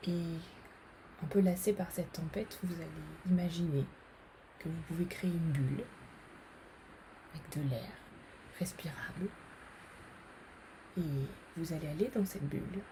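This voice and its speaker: A woman's calm, fairly low voice at a fairly slow pace, broken by long, frequent pauses. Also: ordinary pitch variation. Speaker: psychologist and meditation guide. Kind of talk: guided meditation. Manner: slow, calm, relaxing.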